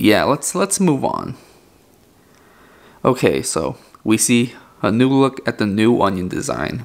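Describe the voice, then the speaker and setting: Here a man talks at a very slow pace. His intonation is lively. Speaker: gaming YouTuber. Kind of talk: video game trailer analysis. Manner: casual, filler-heavy.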